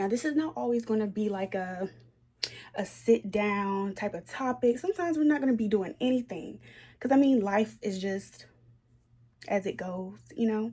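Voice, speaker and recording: A woman with a dark, mellow tone and a somewhat breathy sound speaks at a moderate pace in a fairly high pitch with lively intonation. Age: 20s. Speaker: lifestyle vlogger. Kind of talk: casual vlog talk to camera. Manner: chatty, with fillers.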